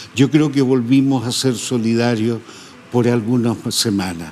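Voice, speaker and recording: Over noticeable background noise, a man talks at a medium pitch and a fairly slow pace. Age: 80s+. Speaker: photographer. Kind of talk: interview. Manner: hesitant.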